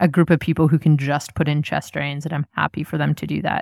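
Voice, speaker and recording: A woman speaks with a Canadian accent in a very deep, low pitch, with vocal fry and monotone, flat intonation. The recording is very clean, with a silent background. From Canada, Nova Scotia. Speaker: emergency physician. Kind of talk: interview.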